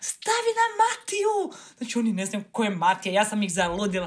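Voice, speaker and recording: Her pitch makes very wide swings. The woman talks fairly quickly. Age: 30s. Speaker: entrepreneur, media founder; podcast guest. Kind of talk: interview. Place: studio.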